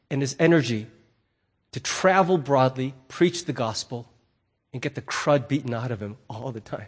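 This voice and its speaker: Somewhat breathy, a man speaks with lively intonation over a quiet background. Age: 50s. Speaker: pastor. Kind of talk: sermon. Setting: church.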